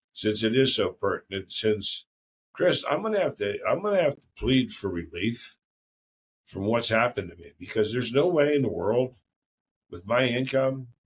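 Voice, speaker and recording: A man with an American accent speaks at a moderate pace in a somewhat breathy voice of medium pitch, with very wide pitch swings and big swings in loudness. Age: 60s. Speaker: podcast host. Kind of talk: casual chat.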